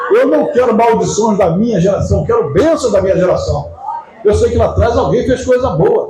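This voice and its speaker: Over noticeable background noise and audible room echo, a man talks at a moderate pace with very even loudness. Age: 70s. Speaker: pastor. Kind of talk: sermon. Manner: conversational, anecdotal preaching.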